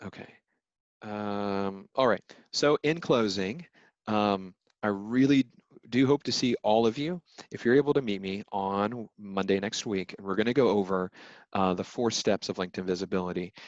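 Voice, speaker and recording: An unremarkable speaking voice, a man with a fairly low pitch and ordinary pitch variation at a moderate pace, in a dry, close sound with no echo. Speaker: legal recruiter presenting a webinar. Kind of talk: webinar presentation with Q&A.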